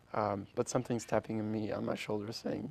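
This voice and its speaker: At a moderate pace, a man speaks at medium pitch with vocal fry. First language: Polish. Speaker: orchestra founder. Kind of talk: interview. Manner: halting, many restarts.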